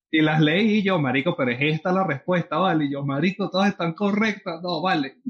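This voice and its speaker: A man speaks at a fairly quick pace with a Venezuelan accent, a high pitch, ordinary pitch variation and hardly any pauses. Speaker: podcast co-host. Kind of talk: casual chat.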